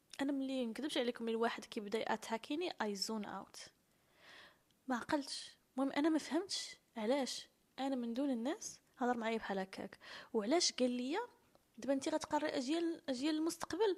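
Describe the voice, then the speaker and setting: Using lively intonation, a woman speaks at a high pitch and a moderate pace. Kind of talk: personal storytelling to camera.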